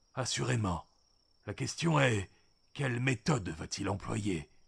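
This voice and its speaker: In a raspy, put-on character voice, a man speaks at a fairly slow pace with a fairly low pitch and very wide pitch swings. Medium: read story. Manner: calm, measured, solemn.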